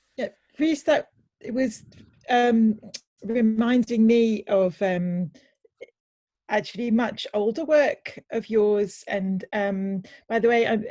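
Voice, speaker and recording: A woman's somewhat breathy, fairly high voice with a dark, mellow tone and a Welsh accent, very slow in pace, with ordinary pitch variation and long, frequent pauses. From Wales. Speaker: audience participant. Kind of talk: casual chat. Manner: halting.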